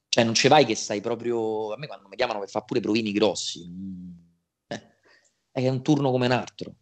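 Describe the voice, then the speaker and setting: A man at a fairly quick pace, with long, frequent pauses, big swings in loudness, ordinary pitch variation, and a quiet background. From Italy. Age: 20s. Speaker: voice actor. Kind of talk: interview. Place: home room. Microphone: video call.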